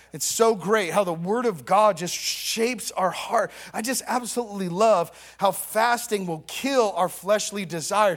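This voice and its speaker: Animated in tone, a man with a high pitch and ordinary pitch variation talks at a fairly slow pace. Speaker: preacher. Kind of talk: sermon. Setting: church. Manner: call-and-response.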